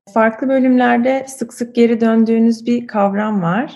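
With fairly even intonation, a woman speaks at a fairly slow pace in a somewhat breathy, dark, mellow voice of fairly high pitch. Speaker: podcast host. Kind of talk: interview.

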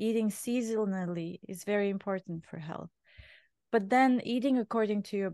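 A woman speaks with a Bulgarian accent at a moderate pace. The background is quiet. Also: dry, close sound with no echo. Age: 50s. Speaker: chef and restaurant owner. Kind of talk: interview conversation.

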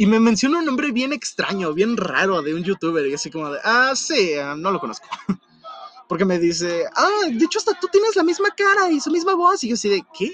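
An animated tone in a Mexico City accent, at a fairly quick pace with very wide pitch swings, over noticeable background noise. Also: man, extremely high pitch for a man. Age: young. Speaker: podcast host. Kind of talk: casual chat.

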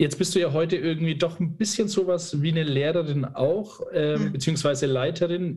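A man with an unremarkable speaking voice, a fairly high pitch, ordinary pitch variation and a moderate pace. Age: 30s. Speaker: podcast host. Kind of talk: interview.

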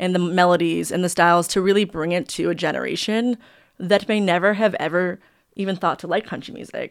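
The speaker has an American accent and talks at a fairly quick pace with fairly even intonation. The recording is very clean, with a silent background. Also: woman. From upstate New York. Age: 30s. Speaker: music publisher and entrepreneur. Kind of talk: casual chat.

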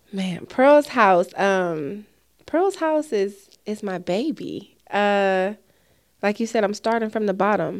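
An unremarkable speaking voice, this woman's medium-pitched delivery comes at a fairly slow pace with lively intonation. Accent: American. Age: 30s. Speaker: nonprofit founder. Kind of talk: casual chat.

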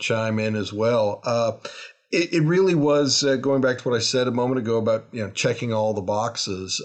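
A man with an unremarkable speaking voice talks at medium pitch and a moderate pace, the background quiet. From Canada, Toronto. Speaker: university president. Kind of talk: interview.

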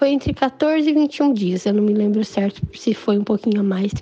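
A woman speaks at a moderate pace with very wide pitch swings. Noticeable background noise can be heard. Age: 20s. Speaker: patient with cystic fibrosis. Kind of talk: personal testimony. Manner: casual.

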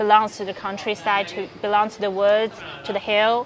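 A woman with a Chinese accent talks at a moderate pace over noticeable background noise. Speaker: podcast host. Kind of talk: casual interview. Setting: outdoors in a park.

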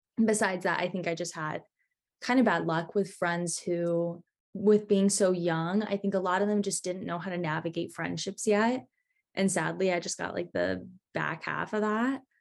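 A woman with an ordinary speaking voice at a moderate pace. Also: medium pitch for a woman, fairly even intonation. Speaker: college student. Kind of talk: casual chat.

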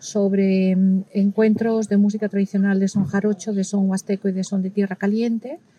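A woman with a dark, mellow, somewhat breathy tone speaks at a medium pitch and a fairly slow pace. Her intonation is monotone and flat, and the sound is dry and close with no echo. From Spain. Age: middle-aged. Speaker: ethnomusicologist and violin teacher. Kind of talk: interview. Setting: recorded at a music festival.

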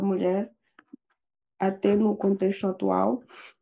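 A woman at a fairly slow pace. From Guinea-Bissau. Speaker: doctoral student. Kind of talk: casual chat.

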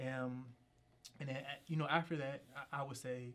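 Flat, monotone delivery with an American accent. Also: man. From Philadelphia, Pennsylvania. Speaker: political candidate. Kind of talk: interview.

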